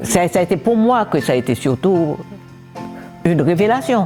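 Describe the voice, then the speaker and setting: Music plays behind a woman. Her pitch swings very widely. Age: 80s+. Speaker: human rights activist, former minister. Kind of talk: interview answer. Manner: hesitant.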